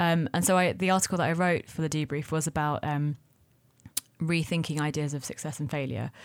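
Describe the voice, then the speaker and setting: A woman talks at a fairly quick pace with a very deep, low pitch. Her intonation stays fairly even. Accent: London. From London. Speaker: restaurateur. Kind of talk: casual chat.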